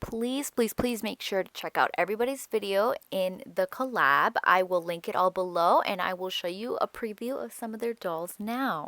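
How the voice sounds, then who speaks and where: In a very clean recording with a silent background and a dry, close sound with no echo, a woman speaks at a moderate pace and fairly high pitch with ordinary pitch variation, a bright, sharp, upbeat tone and hardly any pauses. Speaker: doll customizing artist. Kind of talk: tutorial voiceover. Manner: casual and upbeat.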